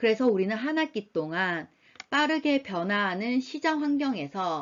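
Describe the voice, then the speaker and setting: A woman speaks at a fairly slow pace in a fairly high pitch. Her pitch swings very widely. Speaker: university lecturer. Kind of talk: lecture. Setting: recorded online lecture. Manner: slow and clear.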